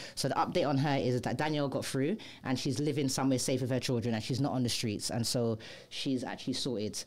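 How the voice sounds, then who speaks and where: Very fast and very even in loudness, a woman speaks with a very deep, low pitch and ordinary pitch variation. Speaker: radio host. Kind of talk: casual news chat. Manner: giggles a lot.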